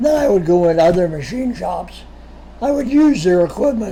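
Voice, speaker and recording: A man's voice moves through very wide pitch swings, with noticeable background noise behind it. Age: 80s+. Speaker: retired machinist and entrepreneur being interviewed by his son. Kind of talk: interview, personal life story. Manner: conversational with frequent repetitions and fillers.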